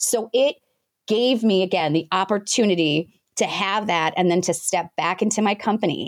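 A normal speaking voice with an American accent, ordinary pitch variation, very even loudness and a moderate pace, dry and close with no echo, in a very clean recording with a silent background. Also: woman, medium pitch for a woman. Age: 40s. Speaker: business founder and coach. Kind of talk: interview.

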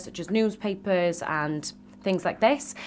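A woman with a Welsh accent, talking at a fairly slow pace. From Wales, Cardiff area. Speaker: beauty queen and activist. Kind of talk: radio interview. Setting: radio studio.

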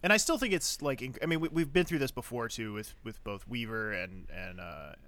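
On a very clean recording with a silent background, a man of medium pitch speaks at a moderate pace in a bright, sharp tone, with very wide pitch swings and big swings in loudness. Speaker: podcast co-host. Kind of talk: casual chat.

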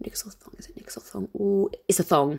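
A woman talks with ordinary pitch variation. The recording is very clean and the background silent. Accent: southern English. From southern England. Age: 20s. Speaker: podcast host. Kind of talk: casual Q&A monologue. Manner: chatty.

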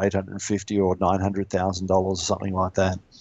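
This man talks with an Australian accent at a fairly low pitch, his tone dark and mellow. The background is quiet. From Western Australia, Perth. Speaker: mortgage lender, small business owner. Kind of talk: interview on real estate finance.

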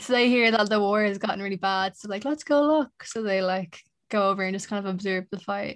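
With an Irish accent, a woman talks at a fairly quick pace. Her pitch is medium. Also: ordinary pitch variation. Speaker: podcaster. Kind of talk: casual chat.

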